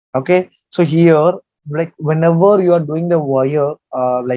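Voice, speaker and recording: A man speaks in a fairly high pitch with a dark, mellow tone and fairly even intonation. The sound is dry and close, with no echo. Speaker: software trainer. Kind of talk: tutorial. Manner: halting.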